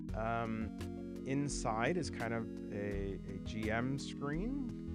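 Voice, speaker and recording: A man talks with music playing in the background. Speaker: solo tabletop RPG YouTuber. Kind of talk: casual talk to camera, product unboxing. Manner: hesitant, casual, uses fillers.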